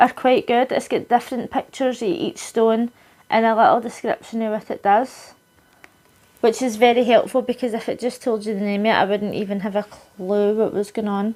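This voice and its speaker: A woman talks at a fairly quick pace with a Scottish accent. Her pitch is fairly high, with ordinary variation. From Scotland. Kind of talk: casual unboxing talk to camera.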